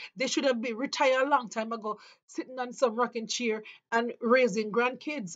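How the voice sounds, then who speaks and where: With a Jamaican accent, a woman speaks at a moderate pace in a fairly high pitch with ordinary pitch variation. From Jamaica, rural St Mary. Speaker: vlogger. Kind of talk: opinion monologue. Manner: impassioned.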